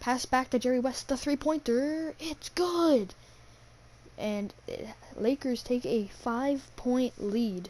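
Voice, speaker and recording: Very slowly and quietly, a woman speaks in a high pitch with ordinary pitch variation. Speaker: gaming youtuber. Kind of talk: play-by-play commentary over a video game. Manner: quiet, hushed.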